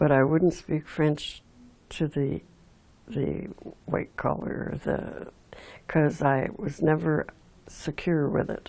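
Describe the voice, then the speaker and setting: A woman speaks very slowly in an Outaouais accent, leaving long, frequent pauses. Her very deep, low pitch carries vocal fry, a dark, mellow tone and fairly even intonation. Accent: Anglophone Canadian English (Outaouais). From Quebec (Aylmer, Outaouais). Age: 80s+. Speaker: local heritage storyteller, volunteer. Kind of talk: oral history interview. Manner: halting, many fillers.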